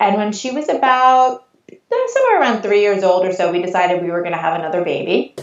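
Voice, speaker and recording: Talking at a fairly quick pace, a woman with a Long Island accent uses a medium pitch. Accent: mild Long Island New York. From US Northeast, Long Island, New York. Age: 40s. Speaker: photographer. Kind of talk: podcast interview.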